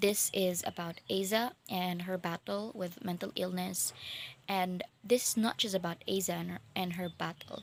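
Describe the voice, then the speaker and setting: A woman with a Filipino accent, medium in pitch, at a moderate pace and with fairly even intonation. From Philippines. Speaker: book vlogger. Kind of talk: casual book review vlog. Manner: halting, many fillers and restarts.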